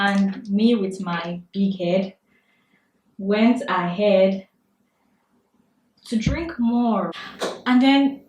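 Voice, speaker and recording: A woman with a Nigerian accent at a very slow pace, with long, frequent pauses. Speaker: beauty vlogger. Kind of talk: storytime vlog while doing makeup. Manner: animated.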